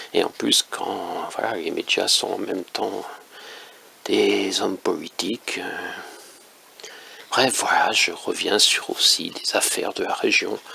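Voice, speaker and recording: A man whispers at a very slow pace. Noticeable background noise runs underneath. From northern France. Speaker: independent author and commentator. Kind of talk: casual monologue commentary. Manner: hesitant, many fillers.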